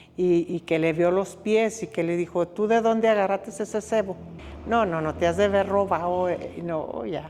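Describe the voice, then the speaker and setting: At a moderate pace, a woman speaks in a medium-pitched, dark, mellow voice with ordinary pitch variation. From Zacatecas, Mexico. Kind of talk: interview answer, family oral history. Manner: reflective, serious.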